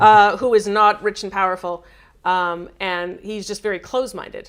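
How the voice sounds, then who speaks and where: A woman with a Canadian accent has an ordinary speaking voice of medium pitch, moving at a moderate pace with fairly even intonation. The recording is very clean, with a silent background. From Canada. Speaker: game studio writer. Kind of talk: live stream chat. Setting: live stream.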